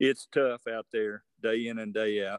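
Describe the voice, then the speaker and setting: An ordinary speaking voice with an American accent moves at a moderate pace over a quiet background. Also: man. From Virginia. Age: 60s. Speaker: veteran bass angler. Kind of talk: podcast interview.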